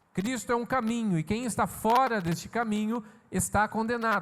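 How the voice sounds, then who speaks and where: At a moderate pace, a man talks in a high pitch. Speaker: pastor. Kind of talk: sermon.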